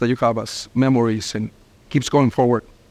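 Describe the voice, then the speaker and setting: A man speaks at a fairly quick pace with a medium pitch and a Spanish accent. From Mexico, small town. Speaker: restaurant owner. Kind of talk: interview. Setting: on location in restaurant.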